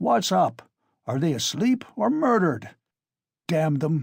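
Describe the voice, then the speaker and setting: Shouting in a raspy, put-on character voice, a man with fairly high pitch swings very widely in pitch at a fairly slow pace on a very clean recording with a silent background. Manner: bawling, shouting.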